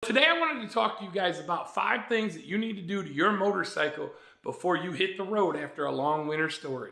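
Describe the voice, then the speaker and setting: A man talks in a raised, projected voice at a very fast pace, high in pitch with lively intonation. Audible room echo and noticeable background noise come through. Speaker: motorcycle vlogger. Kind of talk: tutorial. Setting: garage. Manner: casual, conversational.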